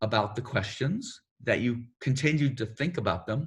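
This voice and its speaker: Somewhat breathy, a man speaks at medium pitch with ordinary pitch variation in a very clean recording with a silent background. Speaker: themed entertainment creative executive. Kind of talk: career advice panel. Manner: fast.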